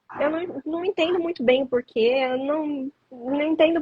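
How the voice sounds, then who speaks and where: Ordinary pitch variation marks this fairly slow speech. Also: woman. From Brazil, São Paulo state (Atibaia). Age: young. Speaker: actress and stand-in. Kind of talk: interview. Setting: livestream.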